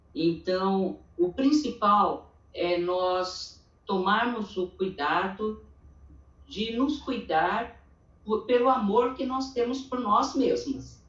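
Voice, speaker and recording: Somewhat breathy and fairly high in pitch, a woman speaks at a very slow pace with lively intonation. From Brazil, interior of São Paulo state. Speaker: church women's meeting speaker. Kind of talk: testimony.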